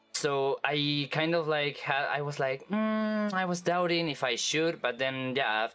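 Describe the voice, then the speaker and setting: Someone speaks with a Spanish accent while music plays in the background. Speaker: vtuber. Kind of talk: interview. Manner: halting, many fillers and restarts.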